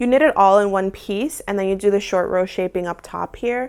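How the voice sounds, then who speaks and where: A woman with an American accent uses an unremarkable speaking voice, medium in pitch, with ordinary pitch variation. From United States. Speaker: crafting YouTuber. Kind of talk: casual vlog tutorial. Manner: casual, filler-heavy.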